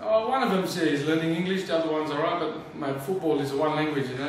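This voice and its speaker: Talking at a very fast pace with hardly any pauses, a man uses a fairly high pitch and ordinary pitch variation. Strong room echo and light background noise surround his voice. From Australia. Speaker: professional footballer. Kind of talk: interview answer. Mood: relaxed, friendly. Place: home room.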